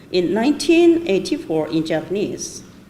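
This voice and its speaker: Speaking at a fairly slow pace, a woman's pitch swings very widely. Audible room echo and noticeable background noise surround her. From northeast China (Changchun), moved to Japan at 12. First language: Chinese. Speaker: author and scholar. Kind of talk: conference talk. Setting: conference with PowerPoint. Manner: halting, hesitant.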